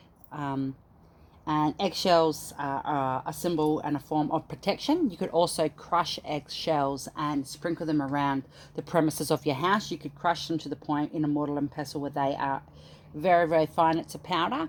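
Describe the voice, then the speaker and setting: With an Australian accent, a woman talks in a very deep, low pitch and fairly even intonation. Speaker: spiritual practitioner. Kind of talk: tutorial. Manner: fast.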